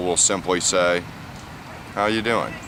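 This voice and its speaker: Noticeable background noise sits under a man talking with an American accent. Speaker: ESL teacher. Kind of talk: tutorial. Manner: slow; clear, deliberate.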